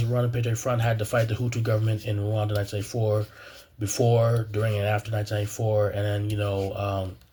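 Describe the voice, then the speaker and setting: A somewhat breathy man with an American accent, medium-pitched, flat and monotone, at a very fast pace. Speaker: graduate student, video blogger. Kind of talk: personal commentary monologue. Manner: halting, many fillers and repetitions.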